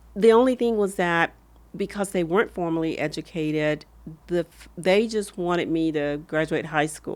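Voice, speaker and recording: The speaker talks at a moderate pace with an American accent and ordinary pitch variation. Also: woman, fairly low pitch for a woman. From US South, rural Alabama. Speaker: former hospital executive. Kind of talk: podcast interview.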